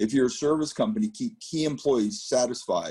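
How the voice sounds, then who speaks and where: A man's fairly high voice, dark and mellow in tone, with very wide pitch swings at a fairly quick pace. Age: 60s. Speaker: business advisor. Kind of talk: presentation.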